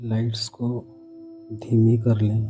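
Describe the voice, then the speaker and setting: Soft-spoken and gentle in tone, a man with a medium pitch speaks in a monotone, flat intonation as music plays in the background. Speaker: yoga teacher, meditation guide. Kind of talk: guided sleep meditation. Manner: whispered; soft, gentle, slow.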